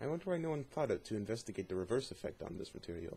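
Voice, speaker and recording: This man's voice is somewhat breathy. His pitch swings very widely. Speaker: YouTube channel host doing a dramatic reading. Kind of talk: dramatic reading of a fictional journal.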